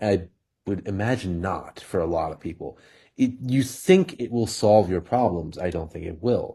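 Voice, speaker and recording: Somewhat breathy with a dark, mellow tone, a man speaks at a moderate pace in a fairly low pitch with ordinary pitch variation, in a very clean recording against a silent background. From India. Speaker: podcast co-host. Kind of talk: casual chat.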